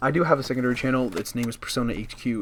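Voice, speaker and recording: A man talks quietly. His pace is very fast. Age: young. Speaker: gaming YouTuber. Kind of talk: casual update vlog over gameplay. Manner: halting, many fillers.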